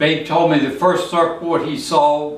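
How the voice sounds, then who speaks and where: At a moderate pace and a fairly high pitch, a man speaks with audible room echo and noticeable background noise. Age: 80s+. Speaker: retired surfer, local historian. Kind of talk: narrated photo presentation.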